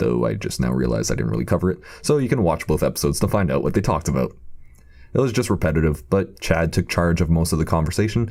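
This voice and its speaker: The voice is dark and mellow, with vocal fry and very even loudness. It moves at a very fast pace through very wide pitch swings. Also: man. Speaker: commentary YouTuber. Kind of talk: scripted commentary video. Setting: temporary replacement microphone.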